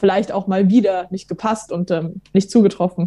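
In a very clean recording with a silent background, a woman speaks at a moderate pace in a medium pitch, her somewhat breathy voice dark and mellow in tone, with monotone, flat intonation. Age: 20s. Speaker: theology student. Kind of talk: casual chat.

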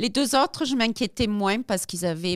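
The sound is dry and close, with no echo. This woman's pitch varies in an ordinary way. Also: very clean recording, silent background. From South Africa. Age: 50s. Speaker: amputee athlete. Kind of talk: interview. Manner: halting.

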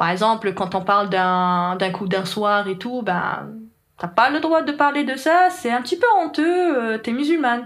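A woman with an Algerian accent speaks at a fairly slow pace in a fairly high voice that swings very widely in pitch. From Algeria, Algiers. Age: 20s. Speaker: software developer. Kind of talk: interview. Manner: hesitant, many fillers.

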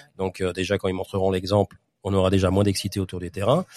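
The voice has a dark, mellow tone and moves at a fairly quick pace. Its sound is dry and close, with no echo. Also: man. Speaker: football podcast host. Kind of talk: casual chat. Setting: clubhouse bar.

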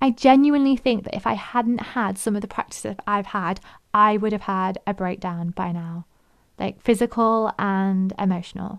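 Against a quiet background, a woman speaks at a moderate pace in an unremarkable speaking voice. Her pitch sits at medium, with ordinary pitch variation. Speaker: fitness coach and podcast host. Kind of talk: solo podcast talk, casual educational. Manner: warm, upbeat.

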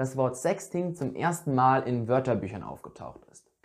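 A woman speaks at a moderate pace. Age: 20s. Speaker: youth church podcaster. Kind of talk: scripted talk.

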